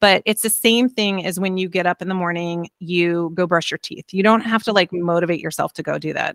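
A woman with an unremarkable speaking voice talks at a fairly quick pace, with hardly any pauses. Her medium pitch follows a fairly even intonation, and the sound is dry and close with no echo. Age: 50s. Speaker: fitness coach. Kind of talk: casual interview.

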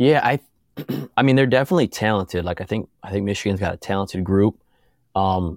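On a very clean recording with a silent background and a dry, close sound with no echo, a man with a fairly low pitch talks at a very fast pace with ordinary pitch variation. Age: 30s. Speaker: former college basketball player. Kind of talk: casual chat.

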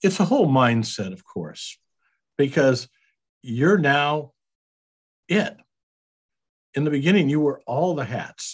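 A man speaks at a fairly slow pace with a fairly high pitch and a somewhat breathy voice. His intonation is lively, broken by long, frequent pauses. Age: 70s. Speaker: business owner, accountant and Vietnam veteran. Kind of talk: interview.

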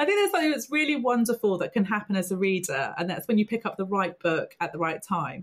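The delivery is very fast and somewhat breathy, with very wide pitch swings and hardly any pauses. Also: woman, medium pitch for a woman. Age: 40s. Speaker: podcast host. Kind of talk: podcast interview.

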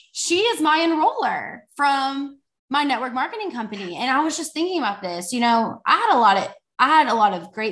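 In a Texan accent, a woman's voice swings very widely in pitch. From Texas. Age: 20s. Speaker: faith entrepreneur. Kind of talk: casual chat. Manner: animated.

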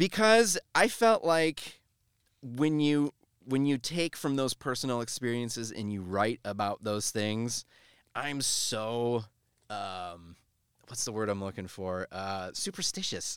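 A man's medium-pitched voice, very slow yet lively in intonation, in a very clean recording with a silent background and a dry, close sound free of echo. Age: 30s. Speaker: local musician. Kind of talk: casual chat.

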